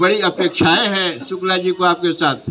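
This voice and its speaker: A man speaks at a high pitch, with noticeable background noise behind him. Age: 70s. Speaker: party leader. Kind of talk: political rally speech.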